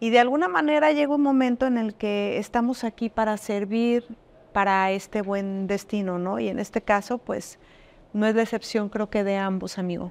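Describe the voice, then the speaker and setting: In a very clean recording with a silent background, a woman talks at a fairly slow pace in a plain, everyday voice with ordinary pitch variation. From Jalisco, Mexico (Arandas). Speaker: businesswoman. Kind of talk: interview.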